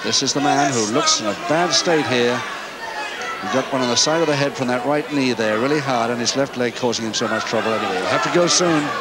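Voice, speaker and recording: A man's fairly high, animated voice at a fairly quick pace with hardly any pauses and ordinary pitch variation, crowd noise in the background. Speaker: wrestling commentator. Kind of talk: live sports commentary on a wrestling match. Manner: animated, rapid play-by-play delivery, calling each hold and round.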